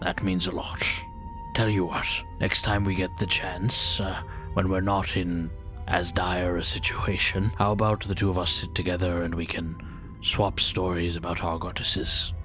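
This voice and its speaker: A man puts on a character voice, pitched very deep and low, at a moderate pace. Loud music plays in the background. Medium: actual play. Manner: warm, earnest, reassuring.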